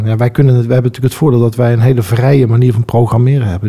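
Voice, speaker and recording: Amid noticeable background noise, a man's medium-pitched voice holds a fairly even intonation. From Netherlands, Breda. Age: 40s. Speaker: school association chairman. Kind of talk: interview. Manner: hesitant, many fillers.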